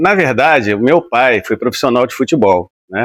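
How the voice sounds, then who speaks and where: At a moderate pace, a man with an unremarkable speaking voice talks at a medium pitch with lively intonation, the sound dry and close with no echo, on a very clean recording with a silent background. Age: 60s. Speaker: retired footballer. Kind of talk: interview. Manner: relaxed conversational.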